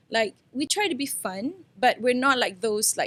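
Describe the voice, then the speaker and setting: A woman speaks loudly with a high pitch at a moderate pace, with ordinary pitch variation and a dry, close sound with no echo. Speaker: entrepreneur. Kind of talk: podcast interview. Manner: casual, filler-heavy.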